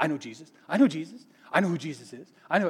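Mumbling in a put-on character voice, the speaker rattles along at a very fast pace in a middle pitch. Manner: fast, mumbly.

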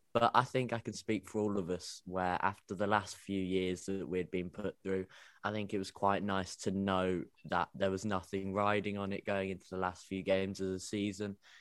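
A man with a British accent speaks at a moderate pace in a fairly low, monotone, flat voice. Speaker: football fan panelist. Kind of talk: casual group chat about football. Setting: video call.

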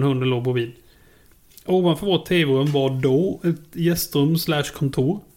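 Fairly even intonation from a man with a fairly high pitch, at a moderate pace. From Småland, Sweden. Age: 30s. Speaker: podcast co-host. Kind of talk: casual chat.

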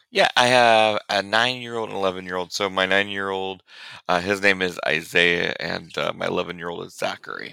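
A loud man with an American accent, bright and sharp in tone, at a moderate pace. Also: fairly low pitch for a man, fairly even intonation. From Central Illinois, US Midwest. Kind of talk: interview conversation. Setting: remote call.

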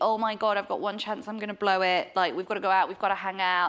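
A woman speaks with a northern English accent. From Yorkshire, England. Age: 30s. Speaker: author. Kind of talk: casual interview chat.

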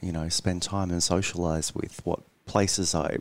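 Very deep and low, a man's voice moves along at a moderate pace. The recording is very clean and the background silent. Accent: Australian. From central Queensland, Australia. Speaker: journalist. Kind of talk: interview. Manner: hesitant, with fillers.

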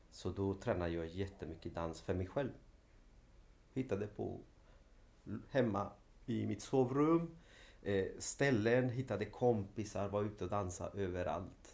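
A man with a fairly low, somewhat breathy voice talks at a fairly slow pace. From Sweden, Linköping (arrived from Chile at age 5). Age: 40s. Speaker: dance teacher, former professional dancer. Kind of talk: interview. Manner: halting.

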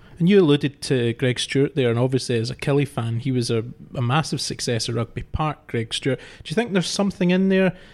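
An ordinary speaking voice from a man, fairly high in pitch and fairly quick, on a very clean recording with a silent background. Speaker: podcast host. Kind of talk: sports podcast discussion, presenting.

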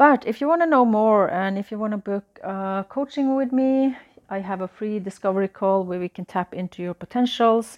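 A woman with a Norwegian accent, fairly high in pitch with ordinary variation, at a moderate pace with hardly any pauses, in a dry, close sound with no echo against a quiet background. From Norway. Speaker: astrology and business coach. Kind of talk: solo podcast monologue.

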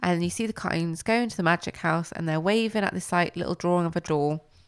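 This woman has an ordinary speaking voice, fairly low in pitch, with ordinary pitch variation. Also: very clean recording, silent background. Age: 20s. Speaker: podcast co-host. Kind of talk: casual chat. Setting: at home, recording late at night.

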